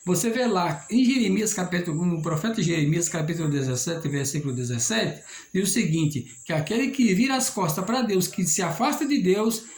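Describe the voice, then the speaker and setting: A man speaks at a high pitch and a moderate pace, his voice making very wide pitch swings. Audible room echo surrounds him. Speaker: lay preacher. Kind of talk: sermon.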